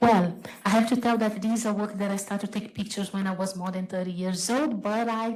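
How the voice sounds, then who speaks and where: With a Brazilian accent, a woman speaks fairly quickly at a fairly high pitch, her intonation fairly even and her voice somewhat breathy, while room echo is audible. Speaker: photographer and artist. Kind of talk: panel talk. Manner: halting.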